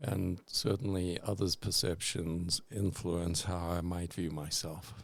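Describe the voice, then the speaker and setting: Speaking at a very slow pace, a man uses a very deep, low pitch with ordinary pitch variation. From South Africa. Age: 60s. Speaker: interviewee, artist's father. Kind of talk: interview.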